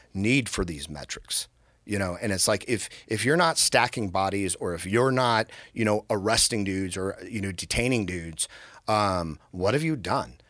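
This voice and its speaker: With lively intonation, a man talks at a fairly low pitch and a moderate pace on a very clean recording with a silent background. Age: 50s. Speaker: military veteran and podcast host. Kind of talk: casual chat. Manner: halting, repeats words.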